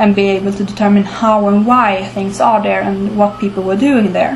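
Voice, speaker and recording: Moderate pacing and fairly even intonation, over noticeable background noise and audible room echo. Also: woman. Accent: Swedish. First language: Swedish. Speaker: archaeology commentator. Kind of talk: informal talk to camera. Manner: halting, many filler words.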